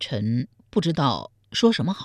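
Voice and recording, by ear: A woman uses a put-on character voice at an extremely low pitch, with very wide pitch swings. The sound is dry and close, with no echo. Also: slightly mellow tone.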